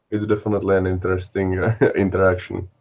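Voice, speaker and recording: A man with a Czech accent speaks in a somewhat breathy voice. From Czech Republic. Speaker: stream panelist. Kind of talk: casual chat.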